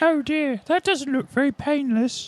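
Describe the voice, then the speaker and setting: The speaker uses a put-on character voice pitched high. The pace is moderate. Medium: actual play. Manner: friendly, chatty, fussy.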